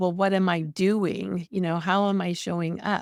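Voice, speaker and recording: A woman speaks at a moderate pace with fairly even intonation, captured in a very clean recording over a silent background. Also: dry, close sound with no echo. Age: 60s. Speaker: grief coach. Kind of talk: testimony. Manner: halting.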